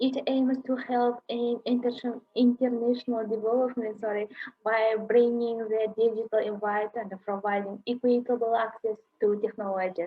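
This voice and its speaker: Speaking at a moderate pace, a woman with a Kazakh accent uses a fairly high pitch and a monotone, flat intonation. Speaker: university lecturer. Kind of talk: lecture. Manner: halting.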